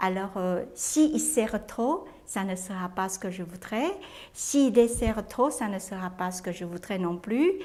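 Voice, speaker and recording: A woman speaks at a very slow pace, with a medium pitch and a dark, mellow tone. Her loudness swings widely while her pitch varies in an ordinary way. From Taiwan. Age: 60s. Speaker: cook. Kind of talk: interview testimony. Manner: halting, with frequent hesitations.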